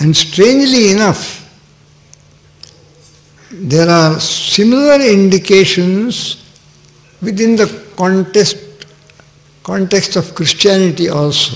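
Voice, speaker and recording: A man talks at a very slow pace with long, frequent pauses. His pitch is high, with ordinary variation. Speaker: spiritual teacher. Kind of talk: sermon. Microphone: podium.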